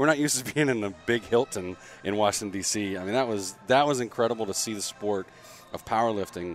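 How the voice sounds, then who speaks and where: With an American accent, a man talks at a very fast pace. His pitch is fairly low, with ordinary pitch variation. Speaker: podcast co-host, gym owner. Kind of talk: casual chat. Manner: casual, animated.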